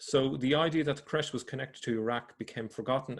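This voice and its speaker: Speaking fairly quickly, a man varies his pitch in an ordinary way. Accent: Irish. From Ireland. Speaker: religion researcher / video presenter. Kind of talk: explanatory presentation. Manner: halting.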